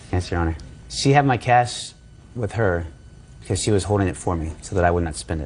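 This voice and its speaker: With a very deep, low pitch, this somewhat breathy man talks at a fairly quick pace with lively intonation and long, frequent pauses, and audible room echo surrounds him. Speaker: defendant in small claims case. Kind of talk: courtroom testimony. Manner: fast.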